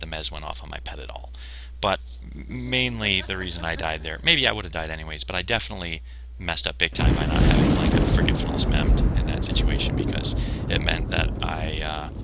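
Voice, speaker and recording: Noticeable background noise and audible room echo surround a man who talks at a fairly quick pace with ordinary pitch variation. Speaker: video game streamer. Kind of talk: gameplay commentary. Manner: fast; casual with many fillers.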